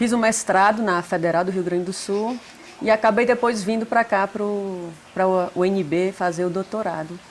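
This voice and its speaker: With a strong northeastern Brazilian accent, a woman speaks at a moderate pace and medium pitch with fairly even intonation over noticeable background noise. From Brazil, Northeast (Fortaleza). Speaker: psychologist, family therapist. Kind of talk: interview.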